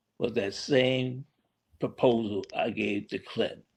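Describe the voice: The man's medium-pitched voice carries vocal fry and a slightly husky edge.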